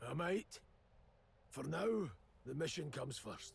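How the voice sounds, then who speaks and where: A man puts on a character voice that is raspy and fairly high. He keeps a moderate pace. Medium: video game. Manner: gruff, blunt.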